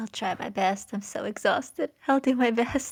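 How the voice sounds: Putting on a character voice, a woman speaks raspily at a moderate pace with a fairly high pitch and ordinary pitch variation.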